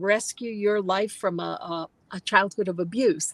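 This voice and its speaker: A woman's normal speaking voice with an American accent, ordinary pitch variation, and a fairly slow pace. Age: 60s. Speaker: novelist. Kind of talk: interview Q&A. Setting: livestream video call.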